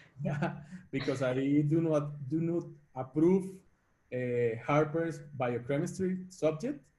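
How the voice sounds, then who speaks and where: A man's fairly high voice, somewhat breathy, with a dark, mellow tone and ordinary pitch variation. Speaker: startup CEO. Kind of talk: webinar interview.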